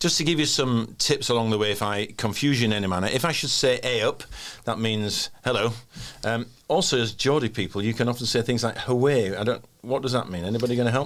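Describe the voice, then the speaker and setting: Talking at a very fast pace, a man speaks with a Yorkshire accent. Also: medium pitch for a man, ordinary pitch variation. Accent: broad Yorkshire. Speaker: podcast host. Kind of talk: casual podcast chat.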